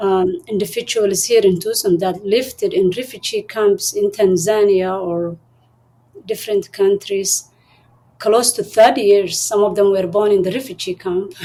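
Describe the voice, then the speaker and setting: A woman with a Somali accent speaks at a moderate pace in a medium pitch. Her tone is dark and mellow, with fairly even intonation. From Somalia and Kenya. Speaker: refugee and entrepreneur. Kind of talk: interview. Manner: halting.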